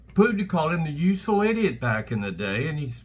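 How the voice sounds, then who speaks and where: Speaking very fast with an American accent, a man uses a fairly high pitch with very wide swings. Audible room echo is present. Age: 70s. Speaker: political commentator. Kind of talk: political rant. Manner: animated.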